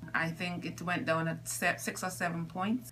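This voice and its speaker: There is light background noise as a woman talks. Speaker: scoliosis patient. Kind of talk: patient testimonial interview. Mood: grateful, relieved. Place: office. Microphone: phone near.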